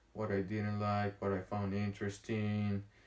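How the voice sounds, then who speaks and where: Speaking in a strong Honduran accent, a man keeps a moderate pace. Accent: thick Honduran Spanish. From Honduras. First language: Spanish. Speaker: vlogger. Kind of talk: casual vlog monologue. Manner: halting, many fillers and pauses.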